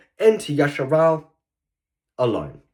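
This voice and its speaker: In an Australian accent, a man speaks at a moderate pace with ordinary pitch variation. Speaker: online preacher. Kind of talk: sermon. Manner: halting, many fillers and repetitions.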